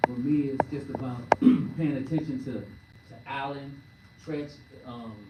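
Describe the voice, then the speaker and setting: A woman speaks with a very deep, low pitch. Audible room echo and noticeable background noise surround her voice. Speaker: actor. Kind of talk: press conference Q&A answer.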